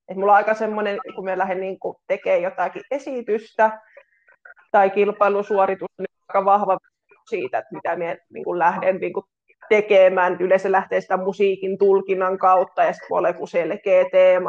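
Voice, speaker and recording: In a flat, monotone delivery, a woman talks at a medium pitch and a moderate pace, her loudness swinging widely. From Finland, North Karelia (Kitee). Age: 30s. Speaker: pole dance instructor and physiotherapist. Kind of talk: casual interview. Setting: remote call.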